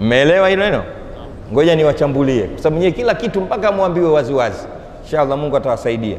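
This man talks very fast, his fairly high voice swinging very widely in pitch. The room echoes audibly, with light noise in the background. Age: 50s. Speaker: Islamic preacher. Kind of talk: sermon. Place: hall. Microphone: lapel.

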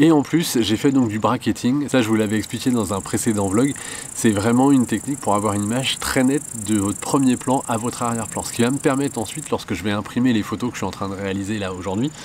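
A man rushes along at a very fast pace with ordinary pitch variation while light background noise plays. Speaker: photographer vlogger. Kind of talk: casual vlog chat. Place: open country.

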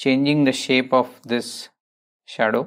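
Quiet surroundings behind a male speaker. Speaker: painting instructor. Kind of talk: tutorial.

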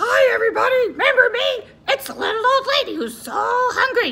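A woman's cartoonish character voice, extremely high-pitched and fairly quick. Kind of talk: children's puppet show. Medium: puppet show. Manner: sweet, cheerful, affectionate.

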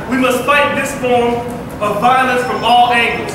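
Amid strong room echo and noticeable background noise, a man speaks at a moderate pace with an extremely high pitch. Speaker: rally speaker. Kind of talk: rally speech.

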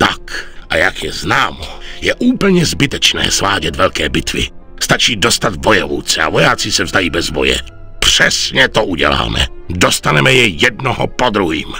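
Clear music plays in the background. Over it, a man speaks with a very deep, low pitch. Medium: fan dub. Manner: calm, authoritative.

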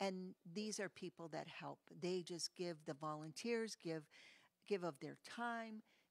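Over a quiet background, a woman with a normal speaking voice talks at a fairly slow pace and fairly low pitch with ordinary pitch variation, and the sound is dry with no echo. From Hartford, Connecticut; Connecticut. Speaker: nonprofit leader; guest. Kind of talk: interview. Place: studio. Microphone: studio mic.

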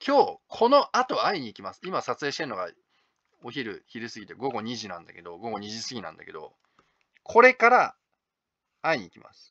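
A man talks at a fairly quick pace, broken by long, frequent pauses. His loudness swings widely, and the sound is dry and close with no echo. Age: 30s. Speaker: manga artist and video blogger. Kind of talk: casual monologue vlog. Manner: casual, hesitant with many fillers.

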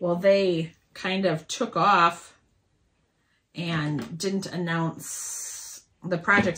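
Fairly low-pitched female voice with a bright, sharp tone, in a very clean recording over a silent background. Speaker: quilting vlogger. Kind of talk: casual tutorial chat. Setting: home sewing room, video. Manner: casual, hesitant with fillers.

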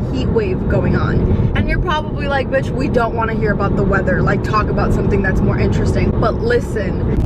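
A woman is heard in a dry sound with no echo, with loud background noise behind her. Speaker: vlogger. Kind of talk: casual vlog chat. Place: car. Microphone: phone near.

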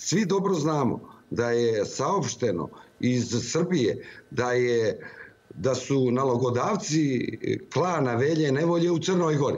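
Speaking at a fairly slow pace, a man with a Montenegrin accent uses lively intonation. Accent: Montenegrin (ijekavian) Serbian. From Montenegro. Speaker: opposition politician. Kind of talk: live TV interview. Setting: remote link into TV studio. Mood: critical, earnest political argument. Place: office. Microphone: video call.

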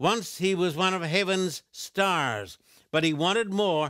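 The sound of a man speaking is dry, with no echo and a quiet background. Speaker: TV evangelist. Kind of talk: sermon. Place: studio.

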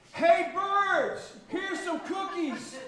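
A man shouts loudly in a put-on character voice at an extremely high pitch. A clear echo follows his words. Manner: loud shout.

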